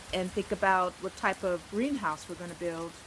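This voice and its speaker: A woman with fairly even intonation. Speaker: travel vlogger, volunteer on a ranch. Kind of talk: casual talk to camera. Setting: outdoors, rainforest.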